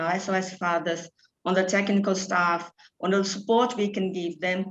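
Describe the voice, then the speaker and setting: A woman's medium-pitched voice, flat and monotone, at a moderate pace. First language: Portuguese. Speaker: charity programme director. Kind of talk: panel talk. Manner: halting.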